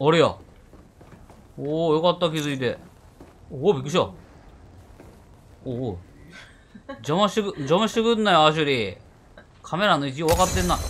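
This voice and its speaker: Spoken in a Kansai accent, the delivery has lively intonation and a fairly quick pace broken by long, frequent pauses. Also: man, fairly high pitch for a man. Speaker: game streamer. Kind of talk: casual let's-play game commentary.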